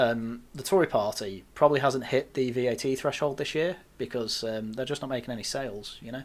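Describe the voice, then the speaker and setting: A man with an English accent talks at a fairly quick pace with hardly any pauses, his medium-pitched voice showing ordinary pitch variation and big swings in loudness on a very clean recording with a silent background. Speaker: news roundup podcast host. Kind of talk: casual chat.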